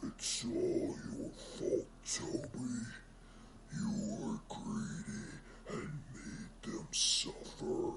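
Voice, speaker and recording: A man's put-on character voice at a very slow pace, broken by long, frequent pauses, over loud background noise. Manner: accusing.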